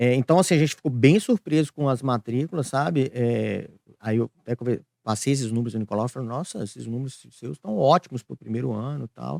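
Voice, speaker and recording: On a very clean recording with a silent background and a dry, close sound with no echo, a man speaks at a medium pitch and a fairly quick pace with ordinary pitch variation. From Brazil, Minas Gerais (Ipatinga). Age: 30s. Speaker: school director and entrepreneur. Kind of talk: podcast interview. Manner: hesitant, many fillers.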